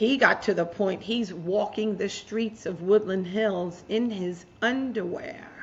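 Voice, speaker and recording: A woman talks at a very slow pace in a somewhat breathy voice. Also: medium pitch for a woman, ordinary pitch variation. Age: 60s. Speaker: author and mental health advocate. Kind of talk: interview storytelling. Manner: animated.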